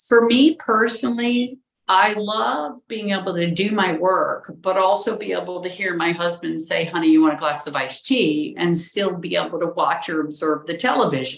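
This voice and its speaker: A woman's unremarkable speaking voice, fairly low in pitch, with lively intonation, a moderate pace and hardly any pauses. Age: 60s. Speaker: architect. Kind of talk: interview conversation.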